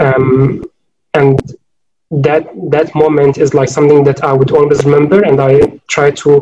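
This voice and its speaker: A man's dark, mellow, somewhat breathy voice at a moderate pace. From Syria, Homs. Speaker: urban researcher. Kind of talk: academic panel discussion. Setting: online video call.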